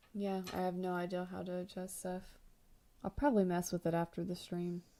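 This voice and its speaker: Soft-spoken and fairly quick, a woman talks in a dark, mellow tone with monotone, flat intonation. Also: medium pitch for a woman. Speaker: artist streamer. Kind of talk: casual livestream chat while painting. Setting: home livestream, quiet house. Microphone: too quiet.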